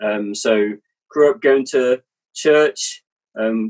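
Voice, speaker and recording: With an English accent, a man speaks in a dry, close sound with no echo. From England. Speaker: missionary and author. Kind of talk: casual interview. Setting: video call.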